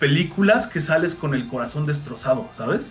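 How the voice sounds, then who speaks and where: Music plays in the background as a man with a Mexican accent talks at a moderate pace and a fairly high pitch. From Mexico. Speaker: voice actor. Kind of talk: interview answer.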